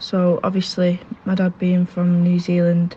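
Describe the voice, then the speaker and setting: A woman with a northern English accent speaks at a medium pitch in a dark, mellow, somewhat breathy tone. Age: 20s. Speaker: rugby league player. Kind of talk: interview.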